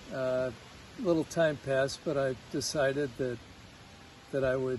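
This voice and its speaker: A man with an American accent speaks at a fairly slow pace, his somewhat breathy, medium-pitched voice keeping a fairly even intonation. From US Midwest, Chicago. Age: 60s. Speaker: patient at a healing retreat. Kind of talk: testimony. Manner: halting, many fillers.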